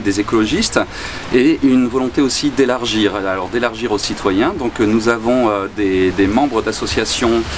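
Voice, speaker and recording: A man at medium pitch speaks over noticeable background noise. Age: 50s. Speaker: local politician, candidate. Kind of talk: campaign interview statement. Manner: halting, many hesitations.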